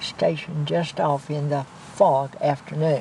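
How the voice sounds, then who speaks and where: A woman with an American accent speaks at a very slow pace against noticeable background noise. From US South. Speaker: war veteran. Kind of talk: oral history interview.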